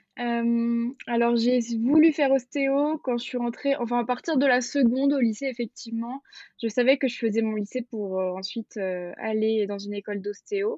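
Her pitch is fairly high, and she shows ordinary pitch variation. The woman talks at a moderate pace. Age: 20s. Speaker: osteopath. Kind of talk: casual interview. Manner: hesitant, many fillers.

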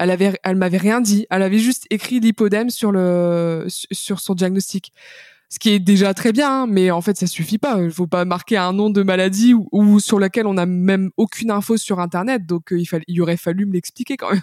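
A woman with an ordinary speaking voice, medium in pitch, talks with fairly even intonation at a moderate pace. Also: dry, close sound with no echo. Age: 20s. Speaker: patient sharing her illness story, author. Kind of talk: testimony interview. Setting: remote recording.

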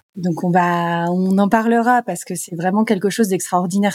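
With a plain, everyday voice at medium pitch, a woman talks at a moderate pace with ordinary pitch variation, the sound dry and close with no echo. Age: 40s. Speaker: spirulina farm co-manager and yoga teacher. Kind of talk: casual interview.

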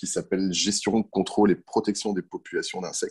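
The man's voice lies fairly low in pitch. Nothing echoes, and the sound stays dry and close. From France, countryside. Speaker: entomologist and pest control business owner. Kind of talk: interview. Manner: hesitant, with fillers.

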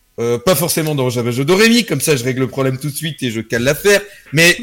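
Lively intonation in a fairly high-pitched male voice. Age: 20s. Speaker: streamer. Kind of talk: casual chat.

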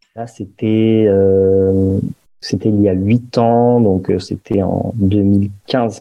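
A man with a fairly low pitch talks at a very slow pace in a monotone, flat intonation. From Paris, France. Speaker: entrepreneur, meditation app founder. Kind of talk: podcast interview.

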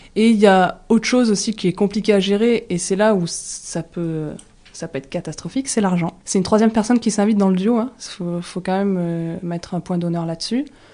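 A woman speaks at a fairly quick pace with a medium pitch and ordinary pitch variation. Her tone is dark and mellow. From rural southwest France near Toulouse. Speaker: shop co-founder and entrepreneur. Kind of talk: casual interview. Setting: in the shop.

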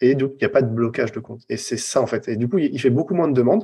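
The voice is somewhat breathy, with a dark, mellow tone and lively intonation. It moves at a fairly quick pace on a very clean recording with a silent background. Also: man. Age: 40s. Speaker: copywriter and former recruiter. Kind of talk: interview.

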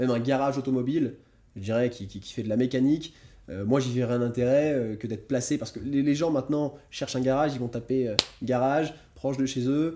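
Fairly quick in pace, this voice carries a dark, mellow tone with fairly even intonation. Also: man. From France. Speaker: entrepreneur. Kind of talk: casual interview. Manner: halting, many repetitions.

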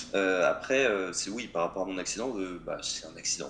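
Pitch varies in an ordinary way as a man talks at a medium speed with clear background noise. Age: 20s. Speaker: motorcyclist sharing accident story. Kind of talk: casual chat.

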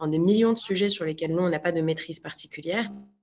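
A woman with a fairly low pitch speaks in a normal speaking voice with fairly even intonation. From Morocco, Marrakech. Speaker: public policy incubator co-founder. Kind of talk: interview conversation.

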